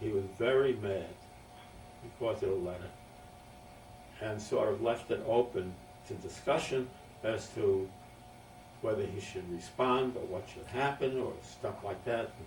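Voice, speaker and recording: A man with a medium pitch and ordinary pitch variation talks at a fairly slow pace, taking long, frequent pauses, with audible room echo and noticeable background noise. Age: 80s+. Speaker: family elder recording memoirs. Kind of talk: oral history interview. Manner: halting.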